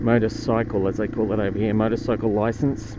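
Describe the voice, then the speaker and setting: A man's moderate-paced speech carries audible room echo and noticeable background noise. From Australia. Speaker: motorcycle vlogger. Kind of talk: casual vlog narration while riding. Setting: outdoors riding a motorbike on streets.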